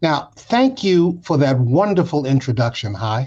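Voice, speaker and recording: A man speaks with a fairly high pitch and a somewhat breathy voice. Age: 70s. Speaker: civil rights leader, award honoree. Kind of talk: award acceptance speech. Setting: home den, video recording. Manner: formal.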